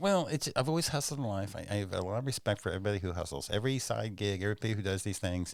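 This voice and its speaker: On a very clean recording with a silent background, a man with an American accent speaks very fast at a fairly low pitch with lively intonation. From Oklahoma (Tulsa). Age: 60s. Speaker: stand-up comedian. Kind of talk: casual chat. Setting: studio.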